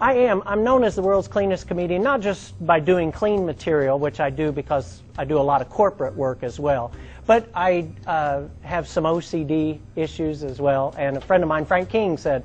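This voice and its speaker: A man speaks in an ordinary speaking voice at a fairly high pitch and with lively intonation. He keeps a moderate pace with hardly any pauses. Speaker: stand-up comedian. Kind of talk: stand-up comedy set with host intro. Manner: conversational, storytelling, punchline delivery.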